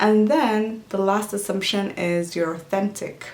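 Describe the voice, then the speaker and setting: With audible room echo and noticeable background noise in the recording, this woman talks at a moderate pace. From Djibouti. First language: Somali. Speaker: lifestyle vlogger. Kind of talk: casual Q&A vlog.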